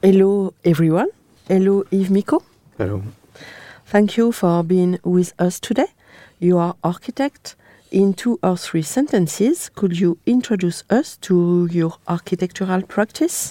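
In a French accent, the voice has a dark, mellow tone, very even loudness and a fairly slow pace. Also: woman, medium pitch for a woman, ordinary pitch variation, very clean recording, silent background. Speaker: podcast host, architecture historian. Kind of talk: interview.

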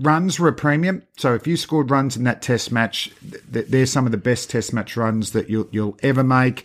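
With an Australian accent, a man talks at a moderate pace and medium pitch, hardly pausing, on a very clean recording with a silent background. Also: ordinary pitch variation. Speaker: cricket podcast host. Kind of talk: casual chat.

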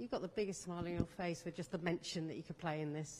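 In a plain, everyday voice, a woman speaks with a fairly low pitch and fairly even intonation. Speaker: sports journalist. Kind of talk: press conference question.

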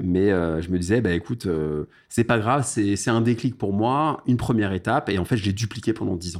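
Talking at a fairly quick pace, a man has an unremarkable speaking voice. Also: fairly low pitch for a man, ordinary pitch variation. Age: 30s. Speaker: parking investor and entrepreneur. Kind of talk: casual interview.

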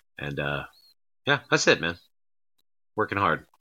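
A man talks with vocal fry. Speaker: wrestling promoter. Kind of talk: casual interview chat.

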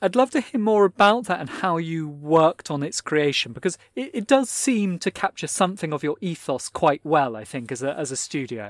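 With a British accent, a man speaks at a high pitch and a moderate pace with very wide pitch swings and hardly any pauses, in a very clean recording with a silent background and a dry, close sound with no echo. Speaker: podcast host and magazine editor. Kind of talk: interview conversation. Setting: recorded live at a fair.

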